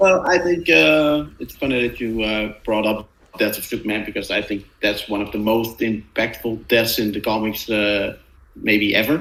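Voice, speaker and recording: A man's medium-pitched voice with a non-native accent, lively intonation and a moderate pace. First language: not English. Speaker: comic book podcast co-host. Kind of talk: casual chat. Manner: halting, many fillers.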